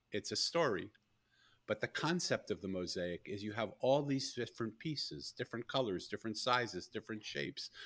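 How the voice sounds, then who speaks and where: A man with an ordinary speaking voice, medium pitch and lively intonation, at a fairly quick pace, in a very clean recording with a silent background. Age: 60s. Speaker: author and former monk. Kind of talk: podcast interview.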